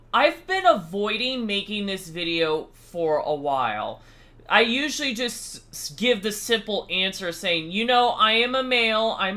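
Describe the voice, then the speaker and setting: Loud and high-pitched, a man speaks at a very slow pace with lively intonation. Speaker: YouTuber. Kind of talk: casual vlog talk. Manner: loud and clear.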